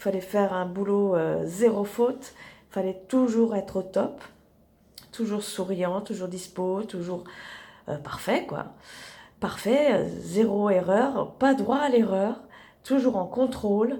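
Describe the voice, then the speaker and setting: Speaking very slowly with long, frequent pauses, a woman of medium pitch has a dark, mellow tone and ordinary pitch variation, with audible room echo around her. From Italy (Rome) to age 12, then rural Tarn, France. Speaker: sophrologist, therapist. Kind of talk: casual personal introduction vlog. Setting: in her therapy office, lying in armchair. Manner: hesitant, many fillers.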